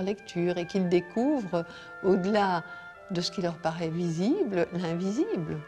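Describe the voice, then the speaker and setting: Music plays in the background. A woman speaks at a medium pitch with ordinary pitch variation. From Belgium. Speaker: poet. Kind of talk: interview answer.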